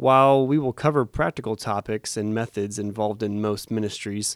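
A man's fairly low voice with an American accent, at a moderate pace and with ordinary pitch variation, in a dry, close sound with no echo on a very clean recording with a silent background. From Arizona. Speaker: youth minister and podcast host. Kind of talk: solo monologue. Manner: hesitant with fillers.

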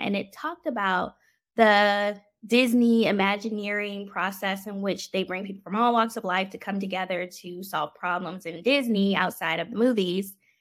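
With an American accent and medium pitch, a woman uses an ordinary speaking voice with ordinary pitch variation on a very clean recording with a silent background. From Washington DC metro area, US. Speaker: physician. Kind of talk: interview.

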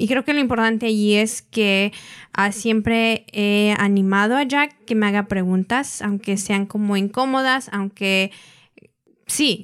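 A woman with an unremarkable speaking voice talks at a fairly slow pace and medium pitch, her intonation fairly even and loudness very even, in a very clean recording with a silent background. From grew up in the US, Mexican family. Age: 20s. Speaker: engaged partner in intercultural couple. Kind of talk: casual interview.

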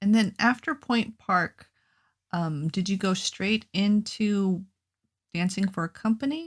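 Over a silent background in a very clean recording, a woman with a medium pitch speaks in a somewhat breathy voice with lively intonation. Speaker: podcast host. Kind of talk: casual interview.

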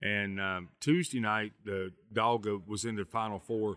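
Speaking at a fairly slow pace, a man uses a fairly low pitch with ordinary variation and a bright, sharp tone. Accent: American. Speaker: field representative and event announcer. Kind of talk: casual interview.

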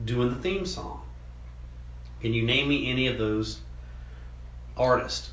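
With long, frequent pauses, a man talks at a fairly slow pace amid audible room echo and noticeable background noise. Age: 50s. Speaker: podcast co-host. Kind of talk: casual chat.

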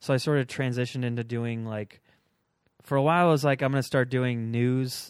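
In a very clean recording with a silent background, a man with an American accent uses a normal speaking voice at medium pitch. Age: 30s. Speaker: stand-up comedian and video maker. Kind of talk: casual chat.

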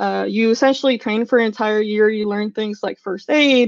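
With a Californian accent, a woman speaks at a moderate pace, her fairly high pitch held in fairly even intonation. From San Francisco (SoMa). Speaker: tech product manager. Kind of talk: casual interview.

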